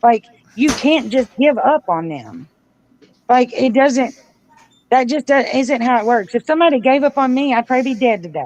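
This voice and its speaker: Loud and high-pitched, a woman speaks at a moderate pace. She leaves long, frequent pauses. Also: ordinary pitch variation. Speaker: community advocate. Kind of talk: casual chat. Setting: livestream.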